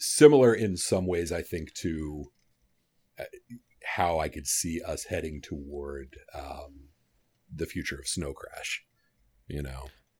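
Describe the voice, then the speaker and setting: A man's very deep, low voice with vocal fry, ordinary pitch variation, big swings in loudness, a very slow pace and long, frequent pauses. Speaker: guest book discussant. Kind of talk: casual chat about a book.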